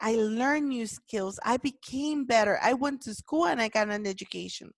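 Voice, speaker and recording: The speaker has a non-native accent, ordinary pitch variation and a moderate pace. The sound is dry and close with no echo, over a quiet background. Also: woman. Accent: foreign accent in English. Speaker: podcast host, leadership movement founder. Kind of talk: motivational talk.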